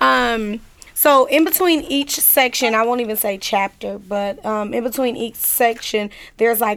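Delivered at a fairly slow pace, this is an unremarkable speaking voice with ordinary pitch variation. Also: woman. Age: 30s. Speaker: author. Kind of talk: casual interview.

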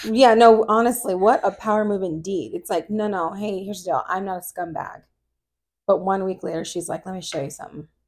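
A woman with an ordinary speaking voice talks at a fairly quick pace in a medium pitch with ordinary pitch variation and big swings in loudness. The recording is very clean, with a silent background. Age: 40s. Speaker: podcast co-host, mother. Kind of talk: casual chat. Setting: home recording at night.

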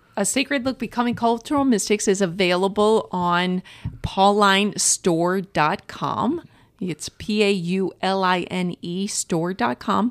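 Over a very clean recording with a silent background and a dry, close sound with no echo, a woman with an American accent speaks at a fairly slow pace in a plain, everyday voice, medium in pitch with ordinary pitch variation. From US Midwest, St. Louis, Missouri. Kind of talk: interview.

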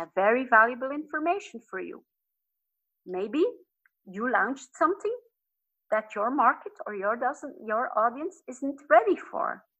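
A woman's high-pitched voice with a Flemish accent, very wide pitch swings, big swings in loudness, a moderate pace and long, frequent pauses. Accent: Flemish Dutch accent in English. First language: Dutch. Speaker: business and life coach. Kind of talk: podcast interview. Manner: occasionally searching for words.

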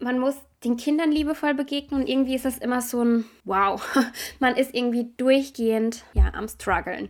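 A high-pitched woman's voice at a fairly slow pace, on a very clean recording with a silent background. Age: 30s. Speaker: parenting podcaster. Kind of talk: casual monologue.

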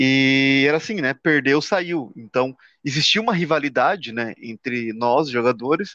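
A man's bright, sharp tone over a quiet background. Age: 30s. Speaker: podcast co-host. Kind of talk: casual chat. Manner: halting.

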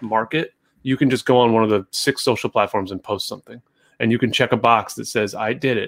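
A man with an unremarkable speaking voice, a fairly quick pace and ordinary pitch variation, in a dry, close sound with no echo on a very clean recording with a silent background. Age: 30s. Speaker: podcast co-host, financial advisor marketing. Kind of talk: casual chat.

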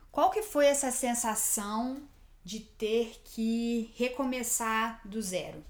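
Audible room echo surrounds a woman's fairly high voice. She talks at a very slow pace with ordinary pitch variation. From Brazil. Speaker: podcast co-host. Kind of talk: casual chat.

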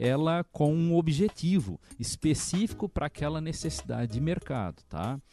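This man has a fairly high pitch for a man, a dark, mellow tone and lively intonation, with a southern Brazilian accent. He talks at a moderate pace, and the sound is dry and close with no echo against a quiet background. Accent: noticeable southern Brazilian. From Santa Catarina, southern Brazil. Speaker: education director. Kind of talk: interview. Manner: hesitant, many filler sounds.

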